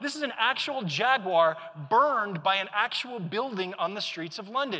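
A man speaks in a raised, projected voice. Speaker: keynote speaker. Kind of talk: conference keynote talk. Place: hall. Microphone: lapel.

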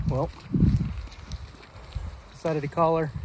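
A man speaks slowly with a fairly high pitch and little pitch movement. Faint background noise sits behind him.

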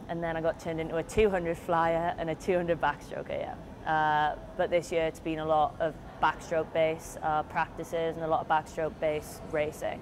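A woman's fairly low voice at a moderate pace, with noticeable background noise. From Britain. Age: 20s. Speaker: college swimmer. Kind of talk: interview. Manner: hesitant, many fillers. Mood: relaxed, reflective. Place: hall. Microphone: lapel.

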